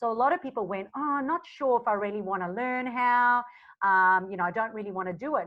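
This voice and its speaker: A woman races along very fast, her fairly high voice moving through ordinary pitch variation. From South Africa. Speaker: social media marketing coach. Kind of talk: podcast interview.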